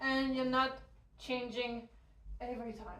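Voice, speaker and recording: Heard with audible room echo, a woman speaks slowly, at a fairly slow pace, with a high pitch and a French accent. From France. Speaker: hoop dance teacher. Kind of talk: tutorial. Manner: counting rhythmically while demonstrating.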